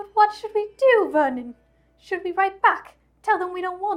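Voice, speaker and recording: In a put-on character voice, a woman speaks extremely high, shrill and shaky. Her intonation is lively and her pace moderate. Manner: shrill, anxious, quivering.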